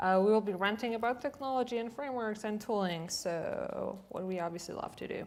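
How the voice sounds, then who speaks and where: A woman speaks at a fairly high pitch with ordinary pitch variation, and the room echo is audible. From Poland. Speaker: designer and developer, conference speaker. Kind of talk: conference talk. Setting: stage with audience. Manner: casual, with many fillers.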